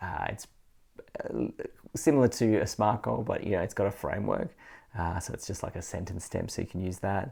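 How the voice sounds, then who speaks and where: On a very clean recording with a silent background, a man with a fairly low pitch, a dark, mellow tone and vocal fry talks at a fairly quick pace with ordinary pitch variation and long, frequent pauses. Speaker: education trainer. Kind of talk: video tutorial. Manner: fast; casual with many fillers.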